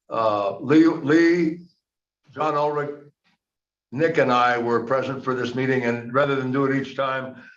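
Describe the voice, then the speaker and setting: In a room with audible echo, a man speaks fairly slowly at a medium pitch, with fairly even intonation and long, frequent pauses. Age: 70s. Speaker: investment council member and committee chair. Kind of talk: public board meeting.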